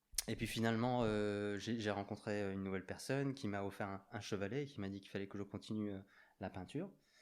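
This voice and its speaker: A man at a fairly low pitch and fairly quick pace, fairly even in intonation, on a very clean recording with a silent background. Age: 40s. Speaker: graffiti artist. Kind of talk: casual chat. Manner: hesitant.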